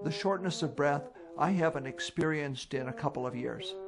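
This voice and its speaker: A fairly high-pitched man speaks over noticeable background noise. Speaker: epilepsy patient. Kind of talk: testimony.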